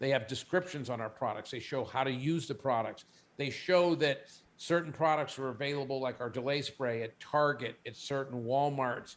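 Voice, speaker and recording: A man talks at a moderate pace. His plain, everyday voice has a medium pitch. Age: 60s. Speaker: company CEO. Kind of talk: interview; product pitch.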